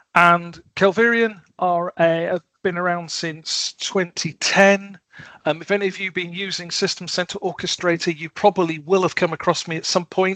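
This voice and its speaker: A man with a high pitch and a bright, sharp tone speaks in a monotone, flat way, recorded dry with no echo. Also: moderate pace, quiet background. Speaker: automation software consultant; presenter. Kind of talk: technical presentation. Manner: halting, many fillers (um, uh). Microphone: headset.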